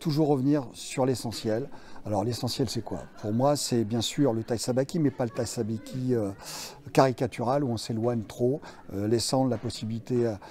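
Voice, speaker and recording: The man speaks in a medium pitch at a moderate pace. His intonation stays fairly even. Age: 60s. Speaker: martial arts instructor. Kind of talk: interview. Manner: hesitant, many fillers.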